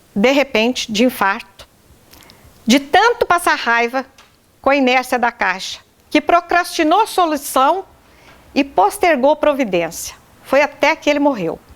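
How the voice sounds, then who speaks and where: A woman speaks at a fairly slow pace in a high voice with very wide pitch swings and very even loudness, over noticeable background noise. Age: 60s. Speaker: widow making a public complaint. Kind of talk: testimony.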